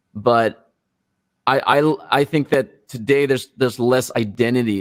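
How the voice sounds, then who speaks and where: Speaking at a fairly slow pace, a man talks with a non-native accent. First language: not English. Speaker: rock musician. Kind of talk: interview.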